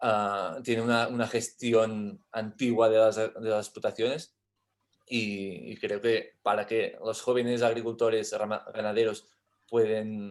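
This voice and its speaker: In a monotone, flat delivery, a man talks at a fairly slow pace. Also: medium pitch for a man. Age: young. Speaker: young farmer and livestock breeder. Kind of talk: panel discussion. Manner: halting, many repetitions.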